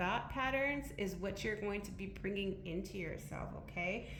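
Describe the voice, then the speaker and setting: The speech moves at a fairly slow pace. Noticeable background noise and audible room echo are present. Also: woman. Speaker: tarot reader. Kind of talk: tarot reading.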